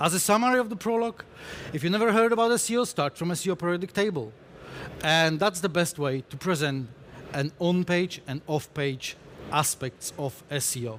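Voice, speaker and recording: Speaking at a fairly quick pace, a man with a Polish accent has a high pitch. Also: lively intonation. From Poland. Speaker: conference speaker, SEO specialist. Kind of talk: conference talk. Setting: stage with audience.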